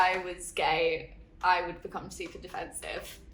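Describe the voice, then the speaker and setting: The speaker talks at a fairly slow pace. They have an Essex accent. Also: woman. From Essex, England. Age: 20s. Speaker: interviewee. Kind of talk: testimony.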